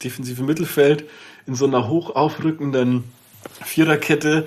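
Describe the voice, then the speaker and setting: Fairly even intonation marks this man's voice. His pace is fairly quick. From Lower Bavaria, Germany. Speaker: TV sports journalist. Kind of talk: casual chat.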